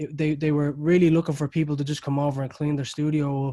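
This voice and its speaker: With an Irish accent, a man speaks at a very fast pace in a monotone, flat way, his pitch fairly high and his tone dark and mellow, the sound dry and close with no echo. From Ireland. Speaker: recording studio owner. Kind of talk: interview.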